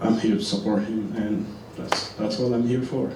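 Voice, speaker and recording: Audible room echo surrounds a man's voice. Noticeable background noise is present too. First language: French. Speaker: videographer. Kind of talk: public comment at hearing. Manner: hesitant, many fillers.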